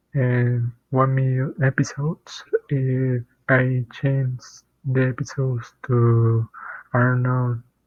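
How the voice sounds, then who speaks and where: A man speaks with a non-native accent at a very slow pace, his intonation flat and monotone. His loudness stays very even, broken by long, frequent pauses. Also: medium pitch for a man. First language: not English. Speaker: programmer. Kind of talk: tutorial. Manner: halting, many fillers and repeats.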